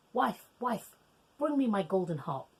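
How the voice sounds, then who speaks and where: This is a put-on character voice at a middle pitch. It moves at a moderate pace with very wide pitch swings. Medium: read story. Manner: bellowing, commanding.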